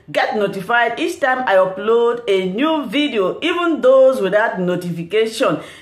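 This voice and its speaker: In a room with audible echo, a woman speaks at a high pitch with very wide pitch swings. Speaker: YouTube news reaction host. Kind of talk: channel intro and outro.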